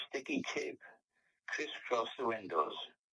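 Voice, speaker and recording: At a fairly slow pace, a man speaks with a South Wales accent in a dry, close sound with no echo. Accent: South Wales Valleys English. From South Wales, Merthyr Tydfil area. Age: 90s. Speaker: war memories interviewee. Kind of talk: oral history interview. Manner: halting, with many fillers.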